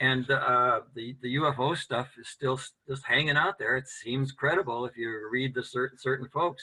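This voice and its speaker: A man uses an ordinary speaking voice, with fairly even intonation, medium pitch and a moderate pace. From US Midwest. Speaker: men's work founder. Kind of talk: casual chat.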